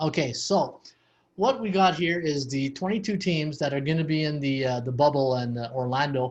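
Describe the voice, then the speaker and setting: Somewhat breathy and fairly high, a man's voice carries a Canadian accent. He keeps a moderate pace with ordinary pitch variation. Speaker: sports betting podcast host. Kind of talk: podcast discussion.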